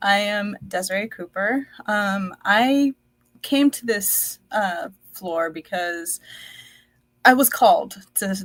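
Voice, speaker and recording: Somewhat breathy and in an American accent, a woman at medium pitch talks at a very slow pace with ordinary pitch variation and big swings in loudness. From United States, child of Indonesian-Dutch immigrants. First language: Dutch. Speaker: entrepreneur. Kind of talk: personal testimony in a live podcast.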